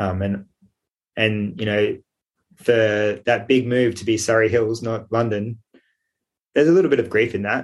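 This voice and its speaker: A man with an Australian accent, fairly low in pitch, at a moderate pace with fairly even intonation. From Sydney, Australia. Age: 40s. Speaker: architect and peer support worker, abuse survivor. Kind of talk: interview testimony. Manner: halting.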